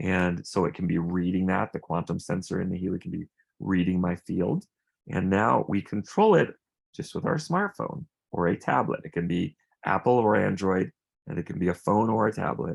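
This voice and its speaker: At a moderate pace, a man speaks with a very deep, low pitch in a dry, close sound with no echo. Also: ordinary pitch variation, quiet background. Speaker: wellness device presenter. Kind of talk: product demonstration.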